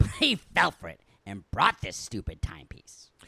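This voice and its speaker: Whispering in a put-on character voice, a man swings widely in loudness, and the sound is dry and close with no echo. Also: moderate pace. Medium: comedy sketch.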